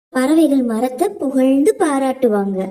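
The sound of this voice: A woman talks at a fairly slow pace with a high pitch and lively intonation. Her tone is dark and mellow.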